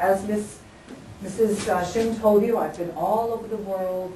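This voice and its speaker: Over noticeable background noise and audible room echo, a woman with an American accent speaks at medium pitch with fairly even intonation. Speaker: English teacher and teacher trainer. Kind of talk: lecture. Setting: classroom workshop with microphone. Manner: loud.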